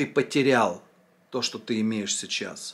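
A man talks very slowly, with ordinary pitch variation. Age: 40s. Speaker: vlogger, former drinker; vlogger. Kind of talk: monologue answering a viewer comment. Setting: filming at home. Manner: casual, conversational. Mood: reflective, earnest, some swearing. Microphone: phone near.

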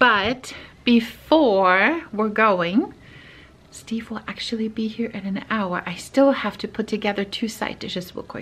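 Pitch varies in an ordinary way in a woman's voice. She talks at a fairly slow pace. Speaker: family vlogger. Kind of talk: casual vlog chat. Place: home room. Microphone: phone near.

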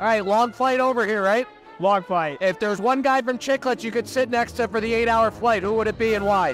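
With faint music in the background and a dry sound with no echo, a high-pitched man talks at a fairly quick pace with ordinary pitch variation. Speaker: roving reporter host. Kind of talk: street interview questions. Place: hall. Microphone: handheld.

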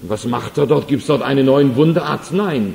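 Noticeable noise fills the background. A man talks with lively intonation. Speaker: evangelist, preacher. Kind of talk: sermon. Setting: church hall, live audience.

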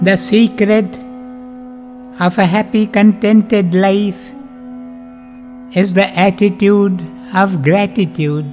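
Over music in the background, a man with a high pitch speaks very slowly in a calm tone, using ordinary pitch variation and long, frequent pauses. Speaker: spiritual teacher; meditation guide. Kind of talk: guided meditation. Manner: slow, calm.

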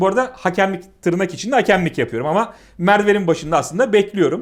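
A man races along at a very fast pace in a high pitch. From Turkey, İzmir (Aegean). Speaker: chess arbiter. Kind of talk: casual chat, anecdote telling.

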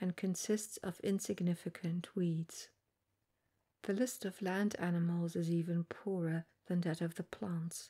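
The speaker is soft-spoken with a gentle tone and a fairly slow pace. The background is quiet. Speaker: reader. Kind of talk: reading aloud from a book, soft ASMR-style narration. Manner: soft-spoken, gentle ASMR reading voice.

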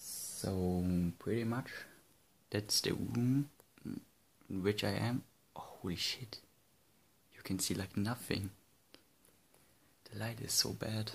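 Soft-spoken and somewhat breathy, a man with a fairly low pitch speaks at a very slow pace with long, frequent pauses, fairly even intonation and big swings in loudness. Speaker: gaming YouTuber. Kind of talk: casual vlog. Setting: room at night. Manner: quiet, speaking softly; hesitant, many fillers.

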